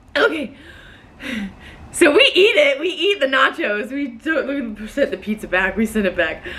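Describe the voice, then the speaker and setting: A loud woman with an American accent and a high pitch, animated in tone, with very wide pitch swings, long, frequent pauses and noticeable background noise. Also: moderate pace. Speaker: storyteller vlogger. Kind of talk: casual storytelling.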